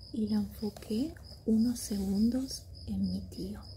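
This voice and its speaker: Soft-spoken, a woman talks at a very slow pace. Her tone is calm and warm. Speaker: ASMR reader. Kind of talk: sleep story audiobook reading. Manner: soft-spoken, calm, warm.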